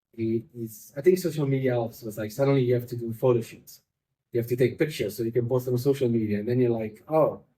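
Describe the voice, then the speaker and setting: A man talks at a very fast pace with a medium pitch. His tone is dark and mellow, and somewhat breathy. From Italy. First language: Italian. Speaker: magician and comedian. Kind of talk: casual chat. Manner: animated.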